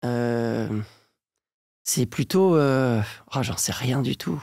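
A man speaks very slowly, with long, frequent pauses, lively intonation and a dark, mellow tone, in a dry sound with no echo against a quiet background. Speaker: voice actor and dubbing director; voice actor. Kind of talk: interview answer. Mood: calm, reflective. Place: studio. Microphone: studio mic.

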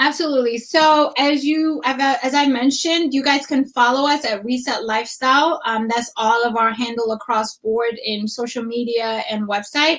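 Talking at a moderate pace with hardly any pauses, a woman uses a high pitch with ordinary pitch variation. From Ethiopia. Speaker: registered dietitian and wellness coach; podcast guest, business coach. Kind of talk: casual interview. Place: home room.

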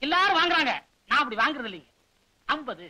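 In a put-on character voice, a man talks fast at an extremely high pitch. His tone is bright and sharp, with big pitch swings.

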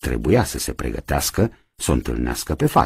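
The man speaks with vocal fry, and the sound is dry with no echo. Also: quiet background. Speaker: radio theatre reader. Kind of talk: audiobook narration of a novel. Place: studio.

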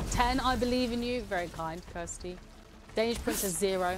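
With ordinary pitch variation and a moderate pace, a woman speaks over noticeable background noise. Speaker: community manager and game streamer. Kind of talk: casual gameplay livestream chat. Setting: studio livestream.

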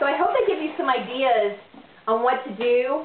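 A woman with an American accent speaks in a high, animated voice at a moderate pace, with ordinary pitch variation and audible room echo. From United States. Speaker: business owner and home cook vlogger. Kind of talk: cooking tutorial. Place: kitchen. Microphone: camera far.

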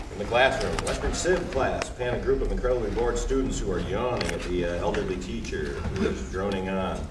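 A man with a fairly low pitch and ordinary pitch variation at a fairly quick pace, over clear background noise

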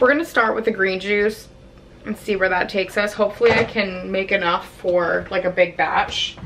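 Over faint background noise, a woman with a medium pitch and a fairly bright tone speaks at a moderate pace with fairly even intonation.

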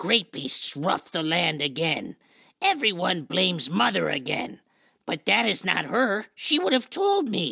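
At a fairly slow pace, someone uses a put-on character voice at a middle pitch. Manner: broken, clipped speech.

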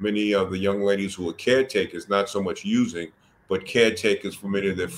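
With an American accent, a man speaks at a moderate pace. His pitch is fairly low, and there is light background noise. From US Northeast, Mount Vernon, New York; New York. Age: 60s. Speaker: addiction nonprofit leader and social work educator; podcast guest. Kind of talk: podcast interview. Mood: reflective, earnest. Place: home room. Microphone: video call.

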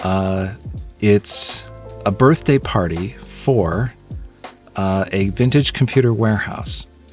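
A man's voice comes through as a dry sound with no echo while faint music is in the background. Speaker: video host. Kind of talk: casual vlog chat. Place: home room.

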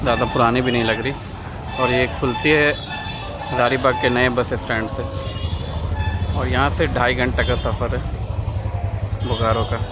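Amid loud background noise, a man speaks at a fairly slow pace in a dry sound with no echo. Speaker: travel vlogger. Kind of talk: casual vlog chat. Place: station. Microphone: phone near.

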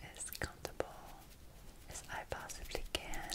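Loud background noise sits behind speech delivered at a very slow pace. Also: woman. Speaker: ASMR artist. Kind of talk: ASMR roleplay, eye exam with personal attention. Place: home room.

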